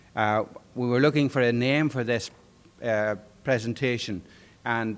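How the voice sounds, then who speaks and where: In a very clean recording with a silent background, a man with an Irish accent talks at a moderate pace, his medium pitch following fairly even intonation. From Ireland. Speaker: conference presenter, organisation board chair. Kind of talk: conference talk. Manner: conversational with many fillers.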